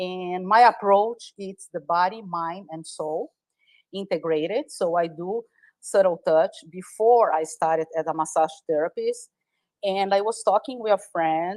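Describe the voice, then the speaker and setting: With a Brazilian Portuguese accent, a woman talks at a medium pitch and a fairly slow pace. Her loudness swings widely, and the sound is dry and close with no echo. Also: ordinary pitch variation. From Brazil, Sao Paulo. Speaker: massage therapist. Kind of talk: interview. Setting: live audio space streamed online.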